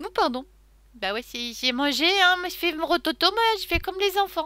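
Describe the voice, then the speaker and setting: A woman's raised, projected voice, bright and sharp, with very wide pitch swings at a fairly slow pace. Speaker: crafting YouTuber. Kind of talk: unboxing haul video. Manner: casual, chatty with fillers; loud.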